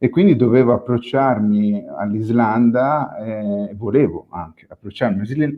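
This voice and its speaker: The man talks at a moderate pace and medium pitch, with ordinary pitch variation. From Tuscany, Italy. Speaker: photographer. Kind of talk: panel discussion. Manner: halting, many fillers.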